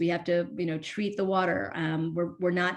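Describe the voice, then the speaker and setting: This woman talks at a fairly quick pace with a fairly low pitch. Her intonation stays monotone and flat. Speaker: workshop presenter on water utility finance. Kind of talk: virtual workshop presentation. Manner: halting, many fillers.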